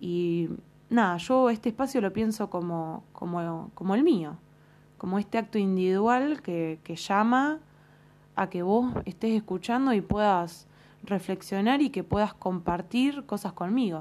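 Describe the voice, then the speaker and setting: Speaking at a fairly slow pace, a woman uses lively intonation in a medium-pitched voice. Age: 20s. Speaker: psychology student podcaster. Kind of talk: solo educational monologue. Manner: hesitant, many fillers.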